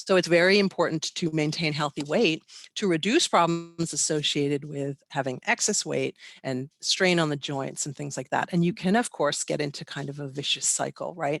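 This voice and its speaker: A woman's very deep, low voice with ordinary pitch variation, against a quiet background in a dry, close sound with no echo. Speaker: animal behavior expert. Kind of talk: webinar lecture. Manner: fast.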